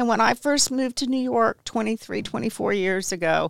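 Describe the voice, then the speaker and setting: A woman with an American accent and an unremarkable speaking voice talks at a fairly high pitch, with a dry, close sound and no echo. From Texas. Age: 60s. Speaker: interior designer and real estate investor. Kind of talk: interview. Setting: studio.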